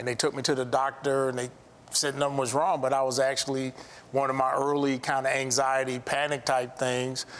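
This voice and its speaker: In an American accent, a man talks at a fairly quick pace with a medium pitch and a monotone, flat intonation. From US Midwest, South Side Chicago. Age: 60s. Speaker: architect and contractor, abuse survivor. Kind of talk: testimony. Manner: halting.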